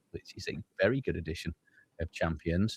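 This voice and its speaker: Heard dry and close with no echo, a man speaks at a moderate pace with very wide pitch swings. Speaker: tabletop RPG show host. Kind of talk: casual chat.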